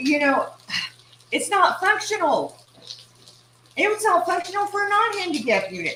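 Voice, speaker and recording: Over noticeable background noise, a woman with an East Texas accent uses a raised, projected voice at an extremely high pitch, with very wide pitch swings, a moderate pace, and long, frequent pauses. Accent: East Texas Southern US. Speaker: cooking channel host. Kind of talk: casual cooking livestream.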